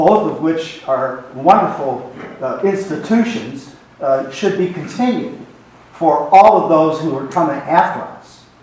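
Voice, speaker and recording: A man speaks fairly slowly with lively intonation and a fairly high pitch. Noticeable background noise and audible room echo surround him. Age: 80s+. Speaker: senior citizen audience member. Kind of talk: audience question at town hall.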